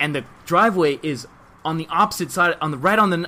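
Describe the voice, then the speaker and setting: This man speaks with a Miami accent at a very fast pace. His tone is bright and sharp. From Miami, Florida. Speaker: podcast guest. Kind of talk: casual chat. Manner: animated.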